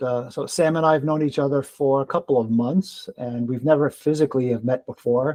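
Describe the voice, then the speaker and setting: A man speaks fairly quickly in a dark, mellow tone with ordinary pitch variation. The sound is dry and close, with no echo. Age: 60s. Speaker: podcast host and run coach. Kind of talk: casual chat. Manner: halting, many fillers.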